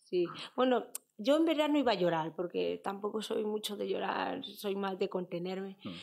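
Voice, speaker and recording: At a moderate pace, the woman talks against a quiet background. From Spain, Fuenlabrada (Madrid); Madrid. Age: 30s. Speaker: footballer; interview guest. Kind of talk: interview. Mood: relaxed, reflective, sometimes emotional. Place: studio. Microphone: studio mic.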